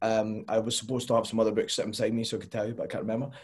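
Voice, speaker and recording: A man speaking in a Scottish accent. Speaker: podcast guest, fitness coach. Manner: relaxed, casual.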